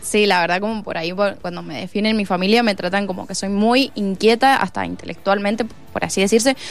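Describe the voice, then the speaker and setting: A woman's medium-pitched voice at a fairly quick pace, with fairly even intonation and music in the background. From Argentina, Mendoza (Santa Rosa). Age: 20s. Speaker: harvest festival queen candidate and PE student. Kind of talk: radio interview. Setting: studio.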